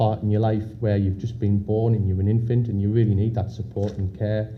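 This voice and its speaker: A man's fairly low, somewhat breathy voice in a Sunderland accent, dark and mellow in tone, with monotone, flat intonation and audible room echo. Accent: Mackem (Sunderland, north-east English). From northern England, Sunderland. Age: 30s. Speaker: conference speaker with PKU. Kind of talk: talk to an audience. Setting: stage with audience. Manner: hesitant, many fillers and repeats.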